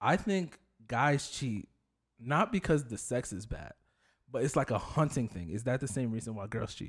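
A man's somewhat breathy voice at a moderate pace, with lively intonation, in a very clean recording over a silent background. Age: 20s. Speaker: podcast host. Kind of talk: casual chat.

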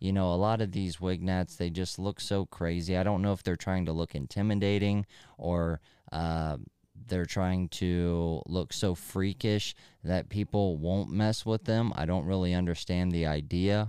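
A man with an American accent speaks at a fairly slow pace in a very deep, low pitch and a dark, mellow tone. His intonation is fairly even, his loudness very even, and the recording very clean with a silent background. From US inner city. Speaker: podcast host. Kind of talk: casual monologue. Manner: halting.

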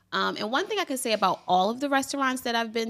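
A woman's plain, everyday voice, with ordinary pitch variation, at a fairly quick pace. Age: 30s. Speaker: travel podcast co-host, brunch blogger. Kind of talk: casual chat.

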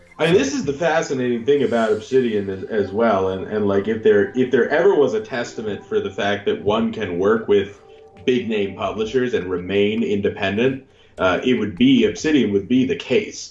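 Music plays in the background as a man speaks. His pitch is medium. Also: ordinary pitch variation, moderate pace. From Canada. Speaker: podcast co-host. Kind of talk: casual banter podcast.

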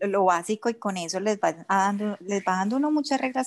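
A woman with an Antioquian accent, medium-pitched and fairly quick, with ordinary pitch variation, on a very clean recording over a silent background. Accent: Colombian paisa Spanish. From Colombia, Medellín. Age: 40s. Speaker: entrepreneur. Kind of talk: interview.

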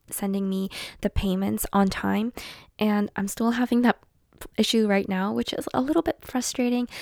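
The speaker has a non-native accent. The sound is dry and close with no echo, on a very clean recording with a silent background. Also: woman. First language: not English. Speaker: podcast host and artist. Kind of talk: casual chat. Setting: home, sitting on bed. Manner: relaxed.

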